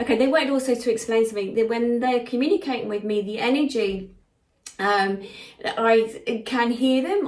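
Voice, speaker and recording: Over noticeable background noise, a woman talks at a fairly quick pace with a fairly high pitch and fairly even intonation. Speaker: psychic medium. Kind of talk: channeled spiritual message. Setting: live session with listeners present. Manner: fast; halting, with many fillers.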